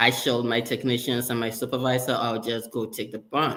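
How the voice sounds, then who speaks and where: The man speaks at a medium pitch with a slight Ghanaian accent. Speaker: sterile processing leader. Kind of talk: interview.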